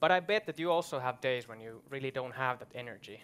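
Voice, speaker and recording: With a Finnish accent, a man speaks using lively intonation. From Finland. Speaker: event host. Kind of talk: moderated panel discussion. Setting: stage with audience. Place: stage. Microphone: headset.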